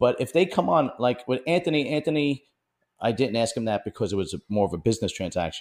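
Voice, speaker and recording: Very fast speech in a Brooklyn accent, with very wide pitch swings, on a very clean recording with a silent background. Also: man, medium pitch for a man. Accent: New York (Brooklyn). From Bensonhurst, Brooklyn, New York. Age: 40s. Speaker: podcast interviewer. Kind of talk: casual interview chat.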